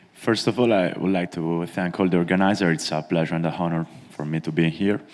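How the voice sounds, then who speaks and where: A very deep, low-pitched man with a non-native accent, over noticeable background noise. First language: not English. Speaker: conference panelist. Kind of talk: conference speech. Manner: slow; halting.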